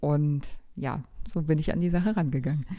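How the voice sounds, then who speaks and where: A woman speaks at a moderate pace. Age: 30s. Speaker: pharmacist, new mother, former NLP student. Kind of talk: interview. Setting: studio, sitting next to host.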